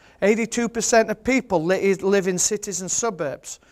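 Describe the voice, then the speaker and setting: This man has a high pitch and a strong Yorkshire accent. His tone is passionate. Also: very clean recording, silent background. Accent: thick Yorkshire. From Yorkshire, England. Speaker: birder, photographer and author. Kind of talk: seminar presentation. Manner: humorous, passionate.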